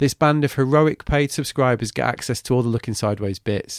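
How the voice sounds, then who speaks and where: Recorded very cleanly against a silent background, a man with an English accent speaks with ordinary pitch variation in a dry, close sound with no echo. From England. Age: 40s. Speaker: podcast host. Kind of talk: monologue intro and outro; casual interview chat.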